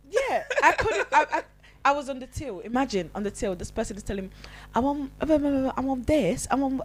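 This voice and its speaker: Noticeable background noise sits behind a woman with a high pitch. She talks at a moderate pace with very wide pitch swings. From Italy, Nigerian family. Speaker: podcast co-host. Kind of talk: casual chat. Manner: halting, many fillers.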